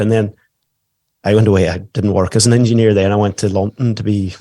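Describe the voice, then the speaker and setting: A man with a Donegal Irish accent speaks in a dark, mellow tone at a fairly low pitch, his intonation monotone and flat. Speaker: stay-at-home dad and musician. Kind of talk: podcast interview. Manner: casual, conversational.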